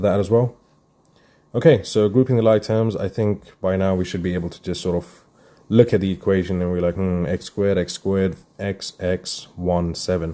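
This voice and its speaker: Mumbling at a fairly quick pace, a man with a very deep, low pitch and a dark, mellow tone keeps his intonation fairly even against a quiet background. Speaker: maths tutor. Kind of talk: live math workshop tutorial. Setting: live stream. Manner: casual, thinking aloud.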